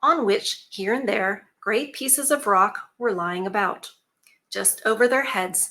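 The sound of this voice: Against a quiet background, an unforced reading voice moves with lively intonation.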